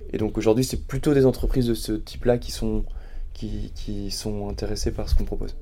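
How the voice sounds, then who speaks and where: Talking at a fairly quick pace, a man is heard amid audible room echo. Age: 30s. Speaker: startup founder. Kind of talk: casual interview. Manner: halting, with frequent repetitions and fillers.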